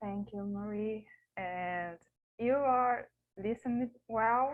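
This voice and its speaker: A woman with a Portuguese accent at a very slow pace, fairly high in pitch, with ordinary pitch variation. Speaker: academic researcher. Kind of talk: conference paper presentation. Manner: halting.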